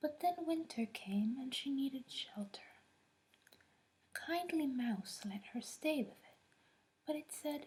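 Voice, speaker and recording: Soft-spoken and soothing, a woman talks in a dark, mellow tone at a fairly slow pace with lively intonation. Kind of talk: soft fairy tale reading at bedtime. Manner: soft-spoken, soothing.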